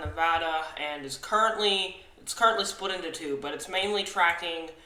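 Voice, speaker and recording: With audible room echo, a man speaks at a moderate pace in a high-pitched, bright, sharp tone. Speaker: amateur weather forecaster. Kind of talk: weather forecast video. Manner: halting, many fillers.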